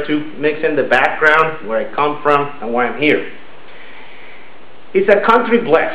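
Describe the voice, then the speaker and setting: A man with a Venezuelan accent talks with very wide pitch swings. Audible room echo and noticeable background noise fill the recording. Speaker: club member giving a speech. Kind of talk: prepared speech.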